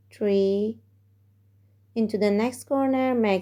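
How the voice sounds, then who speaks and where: In a non-native accent, a woman speaks very slowly at a fairly high pitch, her dark, mellow tone carrying monotone, flat intonation. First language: not English. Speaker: crochet tutorial maker. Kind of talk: crochet tutorial instruction.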